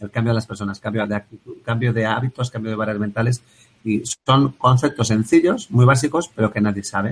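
A man speaks very fast in a medium pitch. His voice is somewhat breathy. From Basque Country, Bilbao. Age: 40s. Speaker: engineer and productivity coach. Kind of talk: interview.

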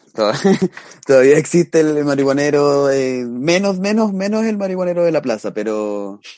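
The speaker keeps a moderate pace. The voice makes very wide pitch swings. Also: man. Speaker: podcast co-host. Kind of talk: casual chat.

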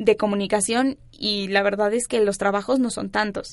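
A woman with a normal speaking voice keeps her intonation fairly even. The background is quiet. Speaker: university student council president. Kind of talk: casual chat. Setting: studio.

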